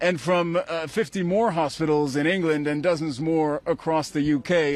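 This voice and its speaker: Moderate pace, ordinary pitch variation, and a plain, everyday voice from a man, pitched fairly high. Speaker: news reporter. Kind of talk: live TV news report.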